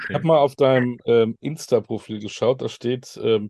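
The sound is dry and close with no echo as a man speaks at a medium pitch with ordinary pitch variation. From Münster, Westphalia, Germany. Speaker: podcast host. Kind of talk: interview.

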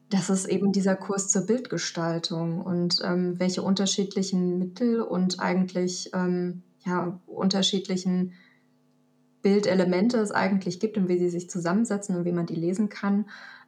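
A woman with a somewhat breathy, medium-pitched voice talks at a moderate speed, her intonation monotone and flat. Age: 30s. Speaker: photography student and headhunter. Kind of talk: casual interview. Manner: hesitant, many fillers.

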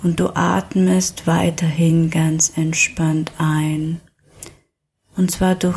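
The tone is soothing and calm. The delivery moves at a very slow pace. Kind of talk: guided trance meditation. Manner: slow, soothing, calm; repetitive, gentle pacing with pauses.

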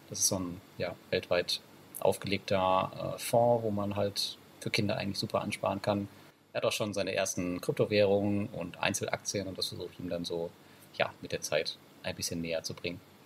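A man keeps a moderate pace while noticeable background noise runs underneath. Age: 30s. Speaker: online entrepreneur and finance blogger. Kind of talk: casual interview.

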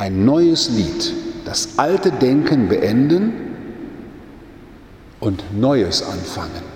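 The speech comes at a very slow pace with long, frequent pauses, amid noticeable background noise and audible room echo. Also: man. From Germany, Münsterland. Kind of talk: sermon. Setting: church.

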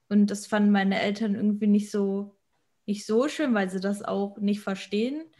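A woman's medium-pitched voice, dark and mellow, somewhat breathy, with fairly even intonation at a moderate pace. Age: 20s. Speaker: amateur physique athlete. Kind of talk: casual chat.

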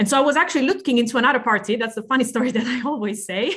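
A woman speaks with an Italian accent. Her pitch varies in an ordinary way. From Italy. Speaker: politician, party co-president. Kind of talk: podcast interview. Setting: video call.

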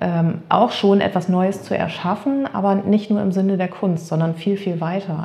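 A plain, everyday voice at a moderate pace, its intonation fairly even. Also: woman. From northern Germany, Emsland. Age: 30s. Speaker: art therapist. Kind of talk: interview. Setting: in her studio.

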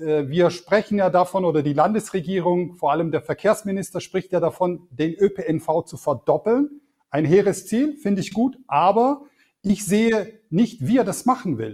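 Here a man speaks at a high pitch. His intonation is lively and his pace moderate. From Swabia, Germany (came from Turkey at age four). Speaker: politician, state election candidate. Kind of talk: interview. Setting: video call. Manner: hesitant with filler words.

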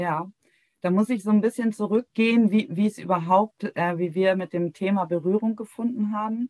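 Dry and close with no echo, a woman's dark, mellow voice sits at a medium pitch with ordinary pitch variation and a moderate pace. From Heligoland, northern Germany. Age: 40s. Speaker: founder of a grief support platform. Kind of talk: interview conversation.

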